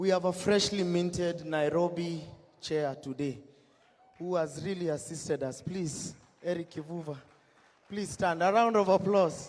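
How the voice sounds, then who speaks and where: A loud man with a high pitch, ordinary pitch variation, a moderate pace and long, frequent pauses. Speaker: lawyer. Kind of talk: event speech. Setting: dinner hall with audience, PA system.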